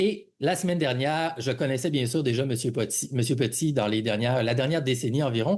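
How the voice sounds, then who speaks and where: Talking at a fairly quick pace with hardly any pauses, a man keeps his loudness very even, his medium pitch varying in an ordinary way. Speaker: podcast host. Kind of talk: podcast interview. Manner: halting, many fillers.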